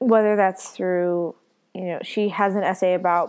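A woman with a normal speaking voice, medium pitch, ordinary pitch variation and a moderate pace, against a quiet background. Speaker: podcast host. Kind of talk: casual chat.

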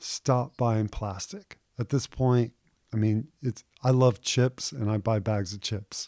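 The voice is dark and mellow, moving at a very slow pace with ordinary pitch variation. The recording is very clean with a silent background and a dry, close sound with no echo. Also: man, medium pitch for a man. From Houston, Texas. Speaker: fishing guide. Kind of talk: interview.

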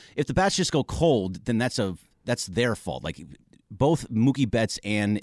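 A man speaks at a fairly quick pace with a fairly low pitch, lively intonation and a plain, everyday voice. The recording is very clean with a silent background, and the sound is dry and close with no echo. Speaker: sports radio co-host. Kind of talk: casual chat.

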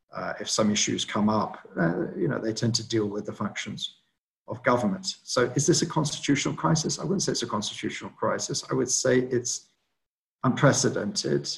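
In a British accent, a man speaks at a fairly quick pace with lively intonation. His voice is somewhat breathy. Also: medium pitch for a man. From Britain. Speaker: political analyst. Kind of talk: webinar briefing and Q&A. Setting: online webinar.

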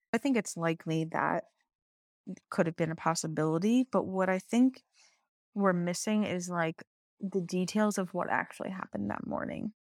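On a very clean recording with a silent background and a dry, close sound with no echo, a woman with a medium pitch speaks at a moderate pace, with ordinary pitch variation and long, frequent pauses. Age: 30s. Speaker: podcast co-host. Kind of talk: casual chat.

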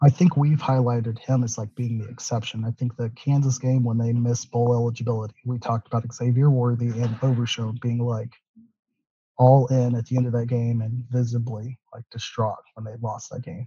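A quiet man speaks fairly quickly in a somewhat breathy voice with a dark, mellow tone and flat monotone intonation, the sound dry and close with no echo. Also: medium pitch for a man. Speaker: podcast guest. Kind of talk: casual chat. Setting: remote from public library. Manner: subdued, quiet.

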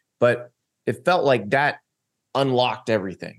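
A man talks in a normal speaking voice with an American accent. His pitch sits at a medium level, with ordinary pitch variation. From Florida, US South. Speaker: college football writer and analyst. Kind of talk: casual chat.

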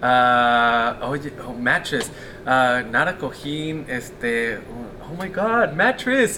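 A man speaks at a very slow pace, his pitch medium and varying in an ordinary way. He has a Californian accent, with noticeable background noise behind him. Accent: Californian American English. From Southern California. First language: Spanish. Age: 30s. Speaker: podcast host. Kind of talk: casual interview. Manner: laughs often.

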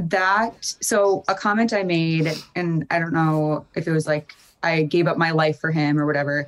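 A woman's fairly low voice at a moderate pace, with ordinary pitch variation and very even loudness. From Fargo, North Dakota. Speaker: reality TV contestant. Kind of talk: interview.

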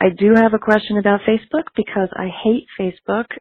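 Speaking at a fairly quick pace, a woman keeps her intonation fairly even. She has an ordinary speaking voice. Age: 50s. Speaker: caller, attorney. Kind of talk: recorded voicemail question.

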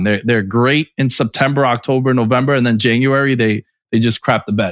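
In a very clean recording with a silent background and a dry, close sound with no echo, a man uses a normal speaking voice at medium pitch, fairly quick pace and ordinary pitch variation. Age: 30s. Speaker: sports podcast host. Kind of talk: casual chat.

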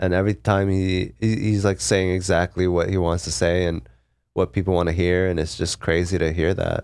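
A man with a West Coast accent speaks at a moderate pace in a very deep, low voice. His loudness stays very even and his intonation fairly even. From Seattle, US. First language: Korean. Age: 30s. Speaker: stand-up comedian. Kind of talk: casual interview chat.

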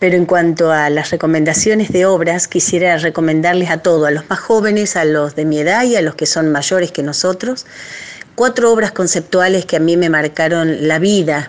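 Her loudness stays very even as a woman speaks at a fairly low pitch and a moderate pace. Her pitch varies in an ordinary way, and there is noticeable background noise. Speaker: folk singer. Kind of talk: recorded recommendation message. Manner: casual, chatty.

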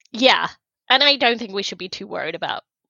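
A woman with vocal fry speaks in a London accent. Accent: sounds like from London. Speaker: hockey podcast co-host. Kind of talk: casual chat. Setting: remote recording.

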